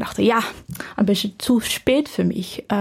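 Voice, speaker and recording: A woman with a Dutch accent and a fairly high pitch, in a very clean recording against a silent background. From Netherlands. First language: Dutch (speaking German). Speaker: medical student. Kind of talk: casual interview. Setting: podcast studio. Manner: halting.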